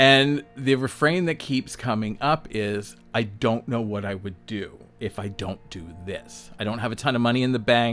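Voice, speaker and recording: A man at medium pitch with ordinary pitch variation, hardly any pauses, and music in the background. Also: moderate pace. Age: 60s. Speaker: self-employed designer and vlogger. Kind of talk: casual monologue vlog. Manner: conversational, filler-heavy.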